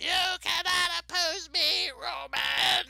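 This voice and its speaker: An extremely high-pitched, put-on character voice. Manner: snarling.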